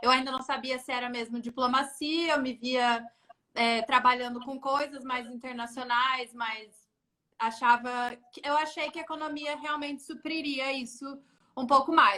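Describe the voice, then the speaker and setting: A woman with a bright, sharp tone uses a raised, projected voice at a high pitch, keeping her intonation fairly even and her pace fairly slow, with big swings in loudness. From São Paulo state interior (Jundiaí), Brazil. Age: 20s. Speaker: UN agency staff, economist. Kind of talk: interview. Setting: Instagram live.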